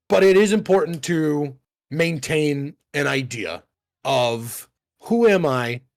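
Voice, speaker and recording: A man's fairly high-pitched voice in an animated tone. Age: 30s. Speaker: podcast co-host. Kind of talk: casual chat.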